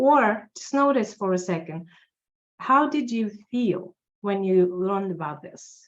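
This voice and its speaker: Speaking in a Russian accent at a fairly slow pace, the voice has lively intonation and big swings in loudness. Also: woman, medium pitch for a woman. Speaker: tax accountant. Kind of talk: interview.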